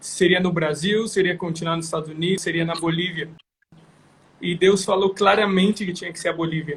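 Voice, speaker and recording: This man has a high-pitched voice and talks in a flat monotone. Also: fairly quick pace. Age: 20s. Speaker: missionary. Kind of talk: testimony. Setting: Instagram live video.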